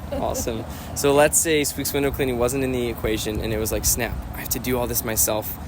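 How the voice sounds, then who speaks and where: A man talks at a very fast pace with fairly even intonation. Room echo is audible, and there is noticeable background noise. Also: medium pitch for a man. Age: young. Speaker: window cleaning business owner. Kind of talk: interview.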